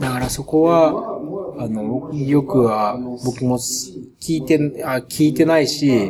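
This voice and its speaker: Noticeable background noise surrounds a man speaking with a Japanese accent. His pitch is medium, with ordinary variation. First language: Japanese (speaking French). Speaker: documentary filmmaker. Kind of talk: interview. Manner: halting.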